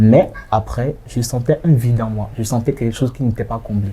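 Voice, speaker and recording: A man speaks at a fairly quick pace in a medium pitch. His tone is dark, mellow and somewhat breathy. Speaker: association president. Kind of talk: interview. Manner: animated.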